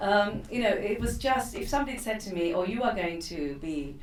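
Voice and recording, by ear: There is audible room echo as a woman speaks at a moderate pace with ordinary pitch variation.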